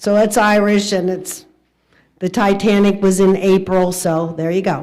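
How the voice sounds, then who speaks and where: There is audible room echo as a woman speaks fairly slowly with monotone, flat intonation. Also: medium pitch for a woman. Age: 70s. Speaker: organist. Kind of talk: casual chat. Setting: livestream.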